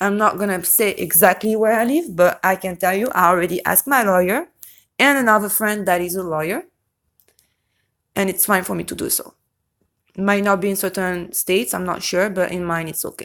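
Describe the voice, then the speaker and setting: A woman of medium pitch with a non-native accent speaks at a fairly quick pace in a very clean recording with a silent background. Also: ordinary pitch variation. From Europe. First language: non-English European language. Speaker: YouTube true-crime commentator. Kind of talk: casual vlog commentary. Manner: occasional stutter on certain words; hesitant, frequent self-corrections.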